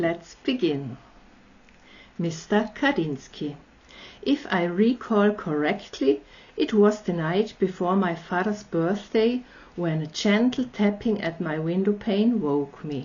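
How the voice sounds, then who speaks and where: Very slow and somewhat breathy, a woman with an Austrian accent speaks at medium pitch with lively intonation and long, frequent pauses. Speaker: storyteller. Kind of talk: reading aloud.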